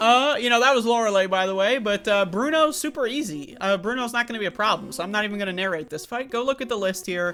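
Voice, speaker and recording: With music in the background, a man in a raised, projected voice talks at a very fast pace with hardly any pauses, his high pitch showing ordinary variation. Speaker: gaming youtuber, speedrunner. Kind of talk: gameplay commentary narration. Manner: casual, filler-heavy with many uh's.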